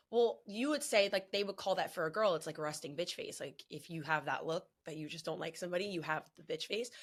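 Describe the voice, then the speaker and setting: Talking at a very fast pace with hardly any pauses, a woman with a New Jersey accent has a fairly low pitch and lively intonation. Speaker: wrestling podcast host. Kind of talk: casual chat. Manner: loud.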